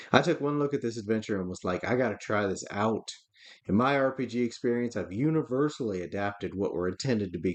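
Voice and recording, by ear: A text is read out loud. It comes in a natural voice.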